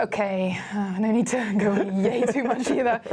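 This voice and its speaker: At a fairly slow pace, a woman speaks with a British accent. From France. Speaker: student TV host. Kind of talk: live student TV show hosting. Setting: studio.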